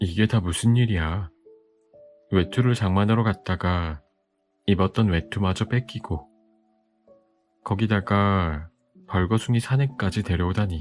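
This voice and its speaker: Over music in the background, a man with a fairly low pitch speaks calmly at a fairly slow pace, with very even loudness, ordinary pitch variation and long, frequent pauses. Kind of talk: bedtime audiobook reading. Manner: soft, calm.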